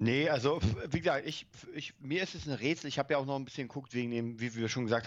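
A man's medium-pitched voice with ordinary pitch variation against a quiet background. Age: 30s. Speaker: film podcast co-host. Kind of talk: casual chat.

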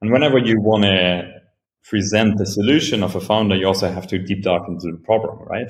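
This man has a German accent and a fairly low pitch. He speaks at a fairly quick pace with ordinary pitch variation. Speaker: venture capital investor. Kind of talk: interview. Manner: halting.

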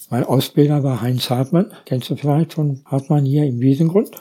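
A man's somewhat breathy voice, medium in pitch with a dark, mellow tone, at a moderate pace. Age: 70s. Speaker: local politician. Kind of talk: casual chat.

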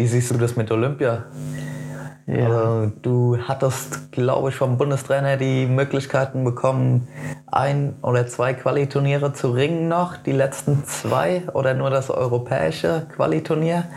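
Over noticeable background noise, a man speaks at a fairly slow pace in a medium pitch. His pitch variation is ordinary and his loudness stays very even. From Germany, Lower Franconia (Hösbach). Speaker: youth wrestling coach and podcast host. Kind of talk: casual chat.

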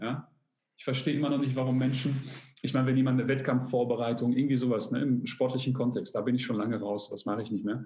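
Very fast, somewhat breathy speech from a man with a dark, mellow tone and fairly even intonation. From Germany, Polish immigrant family. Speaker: fitness coach and YouTuber. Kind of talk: casual interview.

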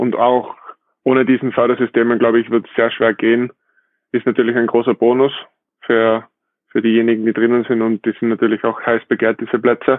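A man speaks fairly quickly at a medium pitch. His intonation is monotone and flat, broken by long, frequent pauses. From Austria. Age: 20s. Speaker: professional beach volleyball player. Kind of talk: casual interview.

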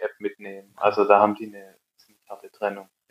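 A man speaks in a Swabian accent. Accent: Swabian, audible. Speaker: app developer, co-founder. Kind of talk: casual interview chat.

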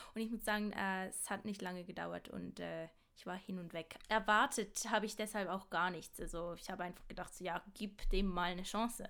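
Vocal fry runs through a woman's bright, sharp tone. She keeps a moderate pace and fairly even intonation. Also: medium pitch for a woman. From Switzerland, Basel. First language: Swiss German (speaking German). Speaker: podcast co-host, acting student. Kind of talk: casual chat. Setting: remote call.

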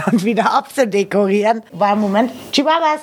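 A woman speaks at a fairly quick pace in a medium pitch, with noticeable background noise behind her. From Austria, Carinthia. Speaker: webcam performer and party singer. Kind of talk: casual interview.

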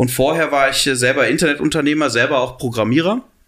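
The man's tone is bright and sharp. He talks at a fairly quick pace with fairly even intonation. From Cologne, western Germany. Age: 30s. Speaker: entrepreneur and university chancellor. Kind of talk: interview.

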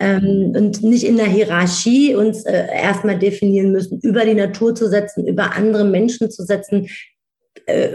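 A woman speaks at a medium pitch with a somewhat breathy, dark, mellow tone and fairly even intonation. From Germany, Wiesbaden (Hesse), Turkish family background. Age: 40s. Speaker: speaker and coach. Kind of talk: interview.

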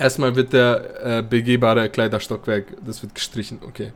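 This is a man with a medium-pitched voice. His intonation stays fairly even. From Bavaria, Munich. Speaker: podcast host. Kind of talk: casual chat.

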